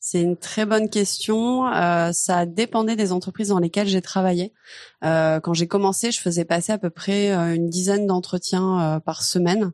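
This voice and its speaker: A woman of medium pitch speaks at a moderate pace against a quiet background, her loudness very even and her intonation fairly even. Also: dry, close sound with no echo. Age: 30s. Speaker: recruiter. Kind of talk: interview. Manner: casual, hesitant fillers.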